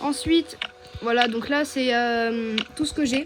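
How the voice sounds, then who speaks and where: A woman speaks in a high pitch. Music plays in the background. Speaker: gaming youtuber. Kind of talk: gameplay tutorial. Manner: hesitant, many fillers.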